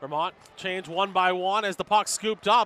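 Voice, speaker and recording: A man's high, bright, sharp voice, raised and projected, in a dry, close sound with no echo. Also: very clean recording, silent background. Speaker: sports play-by-play announcer. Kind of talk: live sports play-by-play commentary. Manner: fast, energetic.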